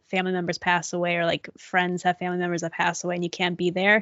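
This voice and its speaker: A woman talks with an American accent. Her pitch is fairly low. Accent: American accent noticed by British listeners. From Illinois, US. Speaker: podcast co-host. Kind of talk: casual chat.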